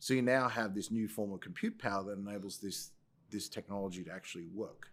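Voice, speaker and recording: Speaking at a very fast pace with an Australian accent, a man keeps a fairly low pitch and fairly even intonation. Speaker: tech company CEO. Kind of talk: podcast interview.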